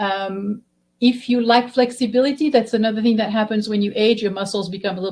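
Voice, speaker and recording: A somewhat breathy woman's voice, fairly high in pitch, at a fairly quick pace. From Belgium. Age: 60s. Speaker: physical therapist. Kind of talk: webinar presentation.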